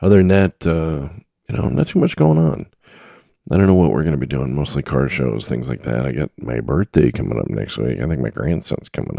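This man has a very deep, low voice with a dark, mellow tone and vocal fry, speaking at a fairly quick pace with lively intonation in a dry, close sound with no echo. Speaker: solo podcast host covering trucking news. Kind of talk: casual solo monologue. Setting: home recording setup with microphone.

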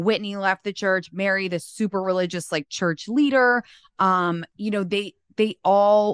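A woman with a plain, everyday voice at a medium pitch, ordinary pitch variation, a fairly slow pace, and a dry, close sound with no echo. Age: 30s. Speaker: content creator and author. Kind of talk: casual chat.

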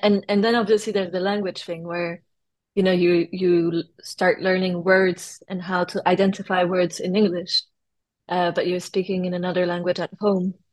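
Spoken at a moderate pace with a French accent, the voice has a flat, monotone intonation over a quiet background. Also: woman. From France. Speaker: artist and designer. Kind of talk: interview chat.

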